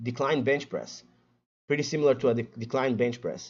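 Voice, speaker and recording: With a Portuguese accent, a man speaks using ordinary pitch variation. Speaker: fitness content creator. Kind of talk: casual livestream chat. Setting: live stream. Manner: stuttering.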